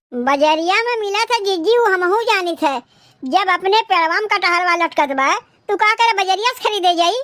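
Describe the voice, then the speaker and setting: A woman performs a cartoonish character voice, with an English-free extremely high pitch. Her intonation is lively. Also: moderate pace. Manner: defensive, retorting.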